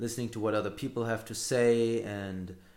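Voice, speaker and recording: The delivery is monotone, with flat intonation at a moderate pace. Audible room echo surrounds the voice. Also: man. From Hamburg, Germany. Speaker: podcaster. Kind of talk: solo podcast monologue. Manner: halting, many fillers and repeats.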